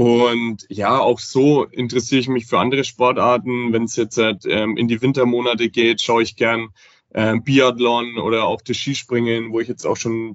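Speaking at a moderate pace with hardly any pauses, a man of medium pitch keeps a monotone, flat intonation. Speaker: affiliate manager. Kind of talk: casual interview.

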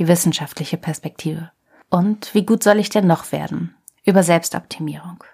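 A woman's dark, mellow voice with vocal fry, fairly low in pitch, at a moderate pace with fairly even intonation, in a very clean recording with a silent background. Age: 30s. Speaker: podcast host and journalist. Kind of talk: scripted narration.

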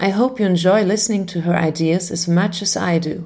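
A woman's dark, mellow tone with a German accent and fairly even intonation. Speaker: podcast host, music educator. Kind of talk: scripted narration. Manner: formal.

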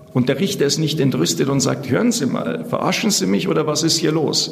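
A man holds a moderate pace amid audible room echo and noticeable background noise. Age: 40s. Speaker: convicted prisoner claiming innocence. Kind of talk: interview testimony.

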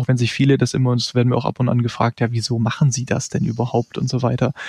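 This man has a plain, everyday voice, medium in pitch, and talks at a fairly quick pace. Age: 30s. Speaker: trader and investment firm founder. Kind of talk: interview.

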